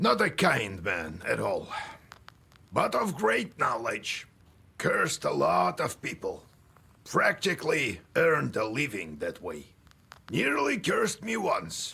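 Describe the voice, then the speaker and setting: A man puts on a raspy character voice, talking at a fairly slow pace with long, frequent pauses. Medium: video game. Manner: blunt, folksy, gruff.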